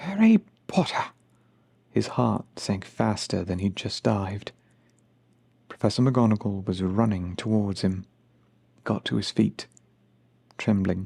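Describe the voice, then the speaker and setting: Soft-spoken and fairly slow, a man with a fairly low pitch, a dark, mellow, soothing tone and ordinary pitch variation leaves long, frequent pauses. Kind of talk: ASMR audiobook reading. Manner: soft-spoken, soothing.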